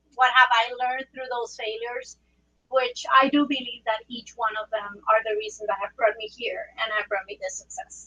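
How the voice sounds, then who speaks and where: A woman's bright, sharp voice at a moderate pace, with ordinary pitch variation. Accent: Spanish. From Puerto Rico. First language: Spanish. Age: 40s. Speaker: trauma surgeon. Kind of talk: presentation talk.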